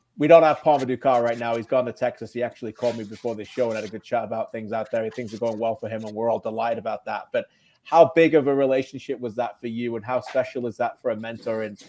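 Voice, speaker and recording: A man with a dark, mellow tone and medium pitch speaks at a very fast pace. His intonation is fairly even, while his loudness swings widely. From England, Birmingham. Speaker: soccer league show host. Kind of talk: interview.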